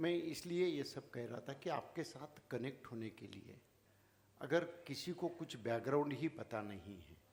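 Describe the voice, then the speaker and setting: The man's voice has vocal fry and lively intonation, and its loudness swings widely. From Maharashtra, India (rural village). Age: 70s. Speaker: founder of social service organisation. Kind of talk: speech to audience. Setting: stage with audience.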